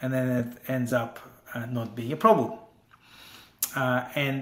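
The man speaks at a fairly slow pace. There is audible echo from the room. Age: 40s. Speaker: tech entrepreneur. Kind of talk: interview. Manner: halting, many fillers. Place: home room. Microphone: earbuds.

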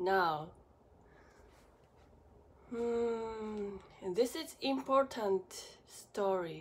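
Speaking at a very slow pace with long, frequent pauses, a woman with a non-native accent uses a fairly high pitch and ordinary pitch variation. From Japan. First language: Japanese. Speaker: acupuncturist, medical massage therapist. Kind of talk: casual talk to camera. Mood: serious, subdued. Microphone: phone near.

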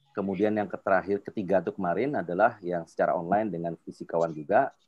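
The pitch moves in an ordinary way. This man's speech races along very fast. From Jakarta, Indonesia. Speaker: invited speaker, industry professional. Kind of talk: webinar presentation with Q&A. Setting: video call. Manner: informal, filler-heavy. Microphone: video call.

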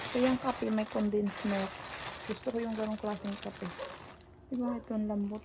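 Against noticeable background noise, a woman speaks in a fairly high pitch with monotone, flat intonation and long, frequent pauses. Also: fairly quick pace. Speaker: vlogger. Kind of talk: casual vlog monologue. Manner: halting.

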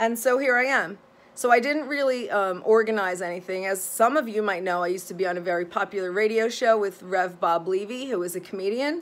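A woman with a plain, everyday voice, a medium pitch and a fairly quick pace. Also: ordinary pitch variation, hardly any pauses. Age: 40s. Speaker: psychotherapist and vlogger. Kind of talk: casual vlog monologue. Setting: home office, filmed video. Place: home room. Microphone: phone near.

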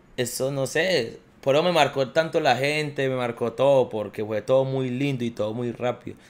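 A man speaks at a moderate pace with hardly any pauses. His pitch varies in an ordinary way. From Colombia, Quindío (Armenia); Quindío, Colombia. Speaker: professional footballer; podcast guest. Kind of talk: casual chat. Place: home room. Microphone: studio mic.

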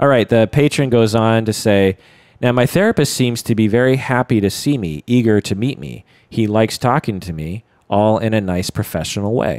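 In a very clean recording with a silent background, a man with a normal speaking voice talks at a moderate pace, with medium pitch and ordinary pitch variation. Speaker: podcast host and psychotherapist. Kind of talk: casual chat.

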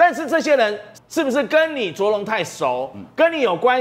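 The man's pitch swings very widely as he talks. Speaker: political commentator. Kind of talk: TV political talk show panel.

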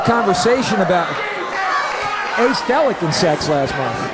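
The man speaks at a moderate pace. Loud background noise sits behind a dry sound with no echo. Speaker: wrestling commentator. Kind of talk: live wrestling commentary.

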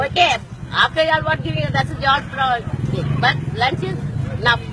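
Loud background noise sits behind a woman speaking at a moderate pace. The sound is dry, with no echo. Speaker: flood victim, domestic worker. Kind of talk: street interview answer. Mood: animated, grateful, pleading. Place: street. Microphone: phone near.

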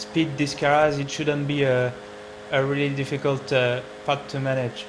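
Against noticeable background noise, a man with a French accent speaks in a fairly high voice at a moderate pace, his intonation monotone and flat. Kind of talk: racing game commentary. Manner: hesitant, many fillers.

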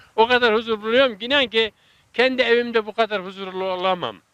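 A man's high-pitched, raised and projected voice, bright and sharp in tone with ordinary pitch variation, comes through dry and close with no echo on a very clean recording with a silent background. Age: 80s+. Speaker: retiree who grafts fruit trees. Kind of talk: interview answer.

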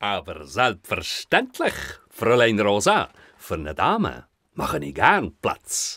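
This is a man's voice. He uses a cartoonish character voice. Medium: puppet. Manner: upbeat, courtly.

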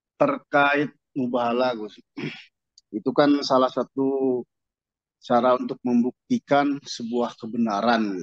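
The speaker is a man with a medium pitch. The background is quiet, and the sound is dry with no echo. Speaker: study group participant. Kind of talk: question in study group. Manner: polite. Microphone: video call.

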